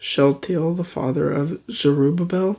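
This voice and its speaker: Soft-spoken, the voice moves at a moderate pace. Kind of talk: scripture reading.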